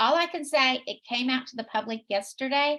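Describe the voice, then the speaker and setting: A woman speaks at a fairly slow pace with ordinary pitch variation. Her tone is bright and sharp. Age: 70s. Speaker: skincare sales consultant. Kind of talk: sales pitch. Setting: live stream. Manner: animated.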